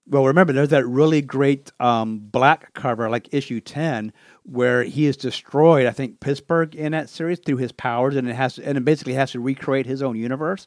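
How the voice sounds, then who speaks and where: Talking at a fairly quick pace with hardly any pauses, a man uses an ordinary speaking voice of medium pitch and fairly even intonation. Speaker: podcast host. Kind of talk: casual chat. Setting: video call.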